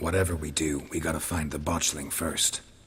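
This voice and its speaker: Using a put-on character voice, a man speaks in a very deep, low pitch with a raspy, deadpan delivery and monotone, flat intonation. His pace is moderate, over light background noise. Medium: video game. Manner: terse, deadpan.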